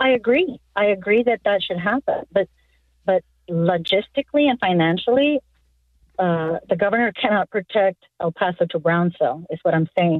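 At a moderate pace, a woman speaks in an ordinary speaking voice, medium in pitch with lively intonation. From South Texas. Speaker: caller, wife of retired border agent. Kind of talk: call-in talk radio. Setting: phone call.

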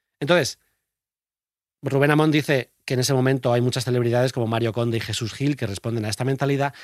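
Dry and close with no echo, a man's voice races at a very fast pace. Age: 30s. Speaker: podcast host. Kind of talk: casual chat. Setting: studio.

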